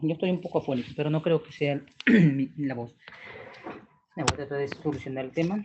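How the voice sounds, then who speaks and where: A quiet man at a fairly quick pace, with ordinary pitch variation, long, frequent pauses and noticeable background noise. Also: fairly high pitch for a man. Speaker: customs and trade instructor. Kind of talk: online lecture. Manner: quiet, subdued. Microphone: choppy audio connection.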